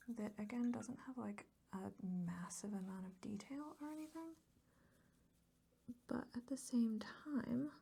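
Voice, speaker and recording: Soft-spoken and calm, a woman with a fairly high voice and a dark, mellow tone uses lively intonation at a fairly slow pace with long, frequent pauses. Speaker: ASMR artist and painter. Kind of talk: casual soft-spoken art tutorial talk to camera. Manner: soft-spoken, calm.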